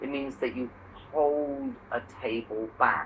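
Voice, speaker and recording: A speaker with an English accent. The pace is fairly slow. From England. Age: 50s. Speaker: English conversation partner. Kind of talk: casual chat. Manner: halting.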